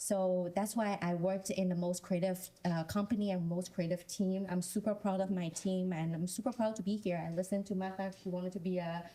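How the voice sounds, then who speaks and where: A woman with a Chinese accent talks at a fairly quick pace with hardly any pauses. Her pitch sits in the middle, and her intonation is flat and monotone. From China. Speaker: panelist. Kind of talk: panel discussion. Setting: stage with audience.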